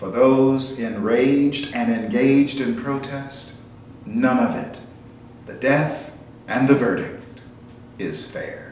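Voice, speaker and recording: A man with a medium-pitched voice and an American accent talks at a very slow pace, with long, frequent pauses, ordinary pitch variation and big swings in loudness. Audible room echo and noticeable background noise fill the recording. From United States. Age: 60s. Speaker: essayist, commentator. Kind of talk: reading aloud a personal reflection essay. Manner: formal.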